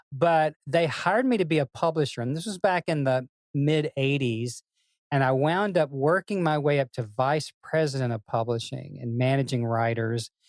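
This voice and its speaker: A man with a Tennessee accent speaks at a moderate pace and a fairly high pitch with ordinary variation. The sound is dry and close, with no echo. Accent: Southern US (Tennessee). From US South, Memphis Tennessee. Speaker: songwriter and music business executive. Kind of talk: interview. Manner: animated.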